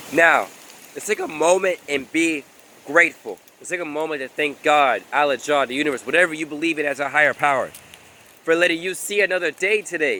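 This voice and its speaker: Talking at a fairly quick pace, a man with a fairly high pitch shows big swings in loudness over noticeable background noise. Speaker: motivational vlogger. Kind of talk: motivational talk to camera. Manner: animated.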